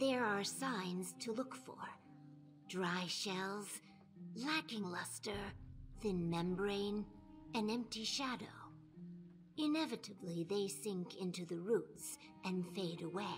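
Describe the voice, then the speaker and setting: Using a put-on character voice at a medium pitch, a woman speaks fairly slowly with long, frequent pauses over clear music in the background. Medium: video game. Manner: chatty, eager.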